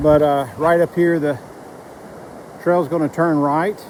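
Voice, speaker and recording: The voice is loud, with noticeable background noise behind it. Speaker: long-distance hiker vlogger. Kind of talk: casual vlog narration. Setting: outdoors on a hiking trail. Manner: hesitant with many fillers; loud, raised voice over creek.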